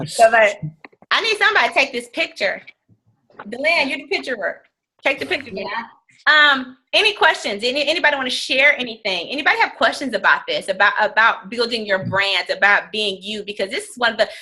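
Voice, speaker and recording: A woman with a high pitch talks at a fairly quick pace, her pitch swinging very widely and her loudness rising and falling in big swings. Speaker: fitness business coach. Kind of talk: team training call. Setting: conference call. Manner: fast.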